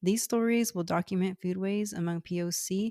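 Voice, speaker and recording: In a very clean recording with a silent background, a woman with an American accent speaks at a moderate pace and a fairly low pitch. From US, Houston, Texas. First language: Cantonese. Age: 30s. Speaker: podcast host. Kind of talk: scripted narration. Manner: formal.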